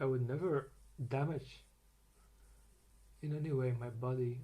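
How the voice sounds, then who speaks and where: A man talks in a somewhat breathy, medium-pitched voice with a dark, mellow tone. His intonation stays flat and monotone. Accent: Dutch. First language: Dutch. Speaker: vlogger sharing personal medical experience. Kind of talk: unprepared personal rant. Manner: halting, with many repetitions and fillers.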